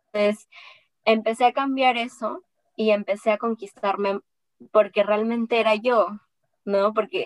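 A woman speaks at a fairly high pitch, and the sound is dry and close with no echo. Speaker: entrepreneur and engineer, podcaster. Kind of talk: interview.

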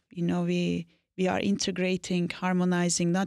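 A woman speaks with a Turkish accent. The recording is very clean, with a silent background. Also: dry, close sound with no echo. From Turkey, Anatolia. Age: 40s. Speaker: business consultant and leadership mentor. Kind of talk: interview.

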